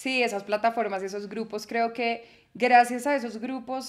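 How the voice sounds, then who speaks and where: On a very clean recording with a silent background, a woman speaks in a Bogotá accent with fairly even intonation. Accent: Bogotá Colombian Spanish (rolo). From Colombia, Bogotá. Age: 30s. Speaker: journalist and podcaster. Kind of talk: casual interview chat.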